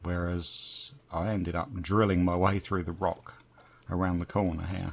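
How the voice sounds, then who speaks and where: Fairly slow speech comes from a man with a very deep, low pitch. His intonation stays fairly even. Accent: British. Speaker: gaming youtuber. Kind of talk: gameplay commentary. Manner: casual, chatty with fillers.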